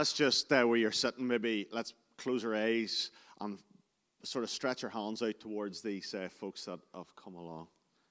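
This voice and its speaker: A man at medium pitch, with a plain, everyday voice, shows big swings in loudness. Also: ordinary pitch variation, moderate pace. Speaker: church member praying. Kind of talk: prayer.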